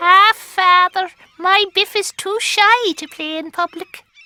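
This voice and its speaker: This cartoonish character voice sounds female, squeaky and extremely high-pitched. It moves at a fairly slow pace. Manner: brisk, exclamatory.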